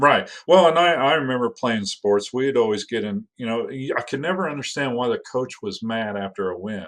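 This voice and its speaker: Against a quiet background, a man with an American accent and medium pitch speaks at a moderate pace with lively intonation and hardly any pauses. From US Midwest. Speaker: school district facilities leader. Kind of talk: podcast interview. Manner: loud; halting, many repeated words.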